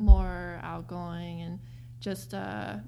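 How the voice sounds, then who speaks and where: Audible room echo surrounds a voice with an American accent. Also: woman. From US, Korean-American home. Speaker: interview guest. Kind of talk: casual interview. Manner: hesitant, many fillers.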